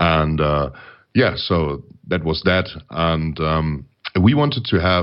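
A man's very deep, low voice with vocal fry, in a German accent. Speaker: metal band lyricist. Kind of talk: interview. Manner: halting.

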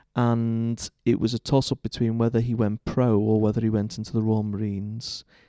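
With a Liverpool accent, a man speaks at a moderate pace and medium pitch in a dark, mellow tone, his intonation monotone and flat, hardly pausing, the sound dry and close with no echo against a quiet background. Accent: Liverpool (Scouse). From Liverpool, England. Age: 30s. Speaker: Church of England vicar. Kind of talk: interview conversation. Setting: church.

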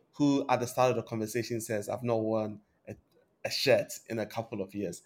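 A man with a normal speaking voice, medium pitch, fairly even intonation and a fairly quick pace. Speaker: podcast host. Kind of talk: interview.

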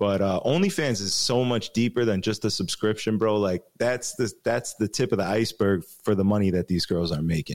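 In a very clean recording with a silent background, the speaker uses a Chicago accent at a moderate pace, with very even loudness, hardly any pauses and ordinary pitch variation. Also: man, fairly low pitch for a man. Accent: Chicago American. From Chicago, US Midwest. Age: 30s. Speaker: DJ and radio co-host. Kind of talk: casual interview chat.

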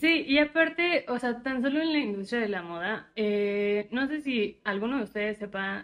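Lively intonation and a moderate pace shape a woman's talk in an unremarkable speaking voice. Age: 20s. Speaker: podcast co-host. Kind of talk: casual chat.

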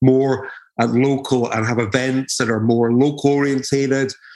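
A man with an Edinburgh accent speaks at a medium pitch. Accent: Scottish (Edinburgh). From Edinburgh, Scotland. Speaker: DJ and label owner. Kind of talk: casual interview chat.

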